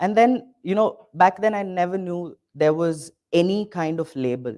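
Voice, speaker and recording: A man's dark, mellow tone. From India, Bengaluru. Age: 20s. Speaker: drag performer and choreographer. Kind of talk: talk to an audience.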